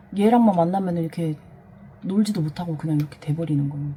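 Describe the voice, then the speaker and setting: A woman is speaking with a fairly low pitch. Her pitch varies in an ordinary way. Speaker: vlogger. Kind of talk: personal testimony. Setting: home storage room. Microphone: voice recorded very quietly, gain boosted in editing.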